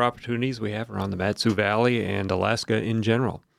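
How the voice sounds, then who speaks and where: A man with an American accent talks at a very fast pace, his medium-pitched voice showing ordinary pitch variation. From southern Wisconsin. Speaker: radio host. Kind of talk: radio interview; radio show intro. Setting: studio.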